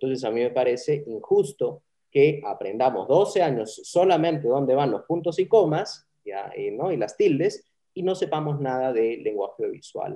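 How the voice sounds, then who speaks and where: A man with an unremarkable speaking voice, fairly high pitch, lively intonation and a moderate pace. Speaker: communication professor. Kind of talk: interview.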